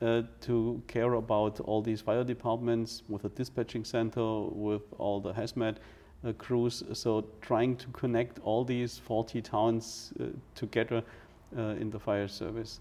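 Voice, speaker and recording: At a fairly slow pace, a man talks in a medium pitch with a dark, mellow tone and monotone, flat intonation. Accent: German. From Germany. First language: German. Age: 40s. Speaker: fire chief. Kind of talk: interview. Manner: halting.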